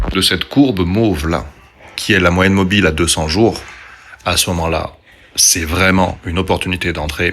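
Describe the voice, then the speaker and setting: A quiet man with a very deep, low pitch at a moderate pace, with noticeable background noise. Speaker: stock market YouTuber. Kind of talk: casual video monologue on investing. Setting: doctor's waiting room. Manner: speaking quietly.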